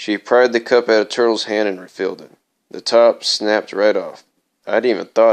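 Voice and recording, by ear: Reading aloud in a natural voice, with fairly even intonation over a quiet background.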